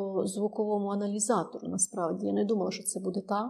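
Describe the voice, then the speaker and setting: Over noticeable background noise, a woman speaks at a fairly quick pace with a medium pitch. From Ukraine, Ternopil. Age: 60s. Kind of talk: interview. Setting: studio.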